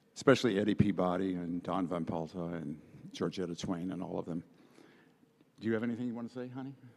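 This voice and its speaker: A man with an American accent and a very deep, low pitch, very fast in pace yet broken by long, frequent pauses. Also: ordinary pitch variation. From Ohio, US Midwest. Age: 80s+. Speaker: artist. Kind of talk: acceptance speech.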